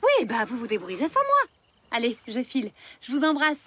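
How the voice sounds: A cartoonish character voice with a bright, sharp tone and a slightly husky edge. It moves at a fairly quick pace with very wide pitch swings. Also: woman, high pitch for a woman.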